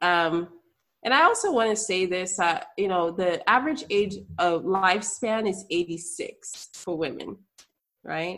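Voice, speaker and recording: Using a normal speaking voice, a woman talks at a fairly slow pace and medium pitch with ordinary pitch variation. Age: 30s. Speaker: obstetrician gynecologist. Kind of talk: interview conversation. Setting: video call.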